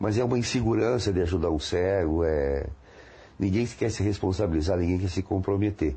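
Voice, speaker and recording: Very deep and low, a man's voice moves at a moderate pace with very even loudness and ordinary pitch variation. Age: 50s. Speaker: blind interviewee. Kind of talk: testimony. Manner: halting.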